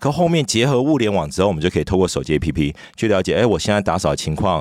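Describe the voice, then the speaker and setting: Very deep and low, a man's voice moves at a very fast pace with lively intonation. The recording is very clean, with a silent background. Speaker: startup founder and CEO. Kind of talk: interview.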